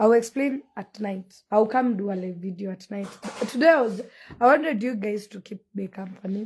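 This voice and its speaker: Loudness swings widely in this somewhat breathy voice, which moves at a moderate pace with ordinary pitch variation. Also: woman, fairly high pitch for a woman. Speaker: forex trading teacher. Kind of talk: live stream talk.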